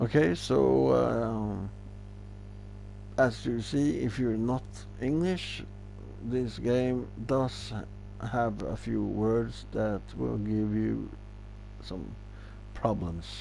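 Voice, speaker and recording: Speech at a very slow pace in a Norwegian accent, broken by long, frequent pauses, with audible room echo. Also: man. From Norway. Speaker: gaming streamer. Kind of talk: casual gameplay commentary.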